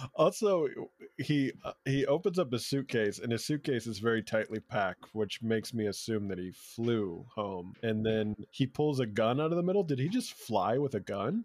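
A plain, everyday voice moves at a moderate pace with lively intonation. The recording is very clean, with a silent background. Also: man, medium pitch for a man. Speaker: comedian. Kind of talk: casual chat.

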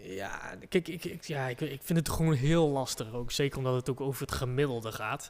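A man's medium-pitched voice at a moderate pace, with ordinary pitch variation and hardly any pauses. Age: 30s. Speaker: podcast co-host. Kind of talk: casual chat. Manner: animated.

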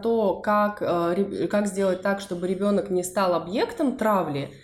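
A woman speaks at a fairly slow pace with a medium pitch and ordinary pitch variation. There is noticeable background noise. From Russia, Saint Petersburg. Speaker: podcast co-host, psychologist. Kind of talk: casual chat.

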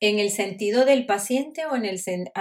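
A woman speaks with a Venezuelan accent. Her pitch is fairly high. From Venezuela, Caracas. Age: 50s. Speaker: doctor. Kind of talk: interview, personal story.

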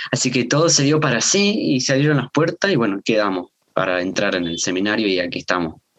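Here a man talks at a very fast pace with a medium pitch. His pitch swings very widely. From Salta, northern Argentina. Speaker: seminary student and preacher. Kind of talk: casual chat about a sermon. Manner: halting, with fillers and repetitions.

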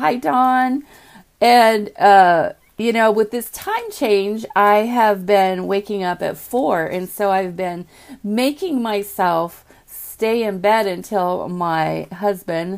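Very slow delivery with ordinary pitch variation. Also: woman, medium pitch for a woman. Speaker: video host. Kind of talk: casual morning talk to viewers. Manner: chatty, conversational.

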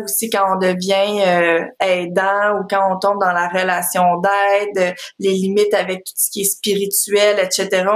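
A woman talks very slowly. She uses a medium pitch. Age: 30s. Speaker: parenting coach. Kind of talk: interview.

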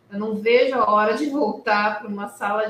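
Noticeable background noise runs through the clip. A woman speaks at a fairly high pitch. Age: 40s. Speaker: lawyer. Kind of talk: online talk to students.

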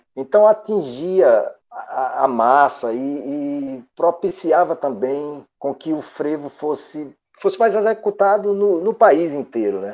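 Very slow speech with very wide pitch swings comes through over a quiet background. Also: man, fairly high pitch for a man. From Paulo Afonso, Bahia, Brazil. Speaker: guitarist. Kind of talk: interview. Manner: halting, repeats words.

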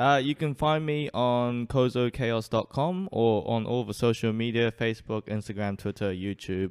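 In a New Zealand accent, a man of medium pitch speaks at a moderate pace with ordinary pitch variation and hardly any pauses. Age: 20s. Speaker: street performer. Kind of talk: casual chat.

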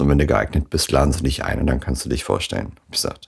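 The man talks in a very deep, low voice. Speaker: solo podcaster. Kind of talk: casual monologue. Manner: casual with many fillers.

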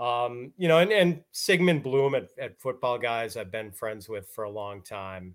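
In a very clean recording with a silent background, a man speaks in a plain, everyday voice with an American accent, at medium pitch and a fairly slow pace, with hardly any pauses, lively intonation and big swings in loudness. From US Midwest, Milwaukee, Wisconsin. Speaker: fantasy football analyst. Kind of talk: casual interview.

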